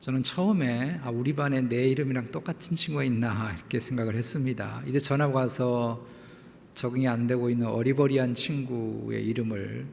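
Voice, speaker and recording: In a room with audible echo, a man talks in a medium pitch at a moderate pace, his pitch varying in an ordinary way. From South Korea (Jeolla, Seoul, Incheon). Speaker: pastor. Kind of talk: sermon.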